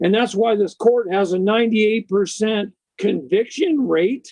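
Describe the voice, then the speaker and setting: A man's high-pitched voice at a very slow pace. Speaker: legal rights speaker. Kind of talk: interview talk. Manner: animated.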